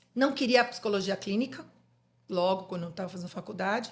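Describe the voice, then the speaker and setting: Somewhat breathy, a woman talks in a very clean recording with a silent background. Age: 50s. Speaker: psychologist. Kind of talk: podcast interview.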